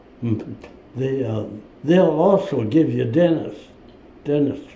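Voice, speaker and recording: With an American accent and vocal fry, a man talks at a very slow pace amid audible room echo. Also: fairly high pitch for a man, lively intonation. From US Midwest. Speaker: war veteran. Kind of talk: interview. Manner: halting.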